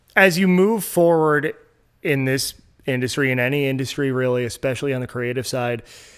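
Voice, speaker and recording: A man with a normal speaking voice and medium pitch talks at a fairly quick pace with ordinary pitch variation in a very clean recording with a silent background. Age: 30s. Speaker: music promoter and blogger. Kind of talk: casual chat.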